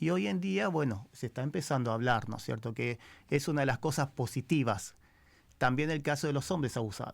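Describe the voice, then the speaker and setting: A man's medium-pitched voice in a Rioplatense accent, fairly quick in pace with ordinary pitch variation, on a very clean recording with a silent background. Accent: Argentine Spanish (rioplatense). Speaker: criminal lawyer. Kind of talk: radio interview. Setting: radio studio.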